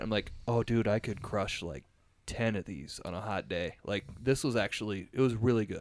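On a very clean recording with a silent background, a man with a plain, everyday voice speaks at a moderate pace, his fairly low pitch showing ordinary variation. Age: 30s. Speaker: podcast host. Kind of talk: casual chat.

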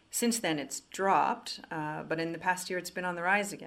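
The recording is very clean with a silent background. The pace is fairly quick, with ordinary pitch variation. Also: woman. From Quebec, Canada. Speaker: economics writer. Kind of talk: interview.

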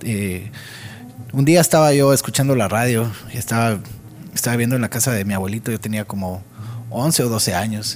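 A man at medium pitch and moderate pace, ordinary pitch variation, long, frequent pauses and music in the background. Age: 30s. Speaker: musician and audio engineer. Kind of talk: interview. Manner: halting, many repeated words.

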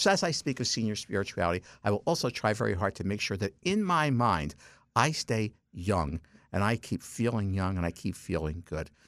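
A man with a plain, everyday voice talks at a fairly quick pace, fairly low in pitch with lively intonation, on a very clean recording with a silent background. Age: 60s. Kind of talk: radio interview. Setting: studio.

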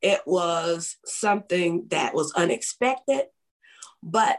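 Speaking at a very slow pace with a Southern US accent, a woman uses a medium pitch and lively intonation. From West Tennessee (Jackson). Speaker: author and ministry founder. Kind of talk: interview.

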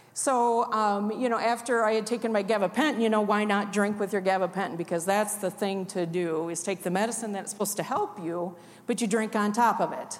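In a Midwestern American accent, a woman with a medium pitch talks at a fairly quick pace with fairly even intonation and hardly any pauses. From Iowa, rural. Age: 50s. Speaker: recovering addict. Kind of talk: testimony. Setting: church.

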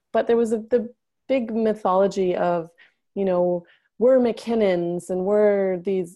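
In a normal speaking voice, a woman at a medium pitch talks at a fairly slow pace with fairly even intonation. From Canada. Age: 30s. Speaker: memoir writing coach and bodyworker. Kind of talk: interview conversation.

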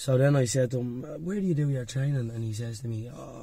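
Speaking at a very fast pace, a man with a Dublin accent keeps his intonation fairly even. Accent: Dublin Irish. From Dublin, Ireland. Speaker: MMA fighter. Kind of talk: casual chat.

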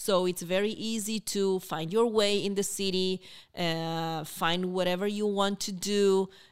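In an Argentine accent, a woman speaks at a fairly slow pace. Her medium pitch stays monotone and flat. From Argentina, Buenos Aires. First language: Spanish. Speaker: university international student program coordinator. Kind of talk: podcast interview.

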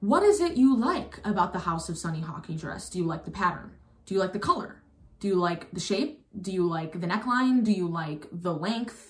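Against noticeable background noise, a woman speaks at a moderate pace and medium pitch, with ordinary pitch variation. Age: 20s. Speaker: solo podcast host. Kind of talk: casual monologue.

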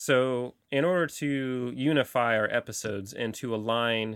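An unremarkable speaking voice from a man, medium in pitch, with fairly even intonation and an American accent. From Central California. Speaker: podcast host and website creator. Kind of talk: casual interview. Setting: studio.

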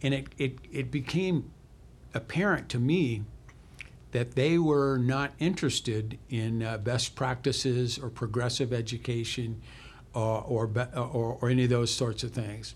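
A man with an American accent talks fairly slowly in a medium-pitched, somewhat breathy voice. His pitch varies in an ordinary way. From US Midwest, small town Illinois. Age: 70s. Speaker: learning advisor, retired school psychologist, war veteran. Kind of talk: casual interview conversation. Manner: halting with many fillers and repetitions.

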